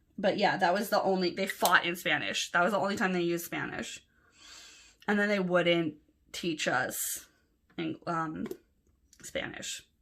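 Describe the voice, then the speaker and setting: A woman speaks with an American accent at a medium pitch and a moderate pace. Her tone is animated, broken up by long, frequent pauses. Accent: Los Angeles, Valley girl when happy. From Los Angeles, US. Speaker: planner vlogger. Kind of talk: casual chat.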